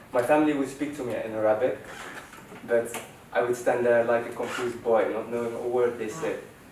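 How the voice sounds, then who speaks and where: A man talks at a fairly quick pace in a monotone, flat delivery, with audible room echo and noticeable background noise. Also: medium pitch for a man. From Netherlands. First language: Dutch. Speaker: student presenter. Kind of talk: personal story presentation.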